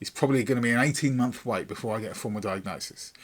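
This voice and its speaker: An English accent on a man's voice. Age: 50s. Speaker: YouTuber. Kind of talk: casual vlog talk. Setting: home recording room. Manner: rambling with many fillers.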